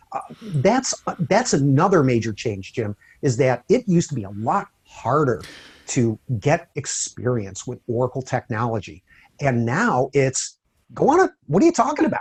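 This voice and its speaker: Lively intonation marks a man's somewhat breathy voice at medium pitch. He keeps a moderate pace, and the sound is dry and close with no echo. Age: 60s. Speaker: database technology speaker. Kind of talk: interview.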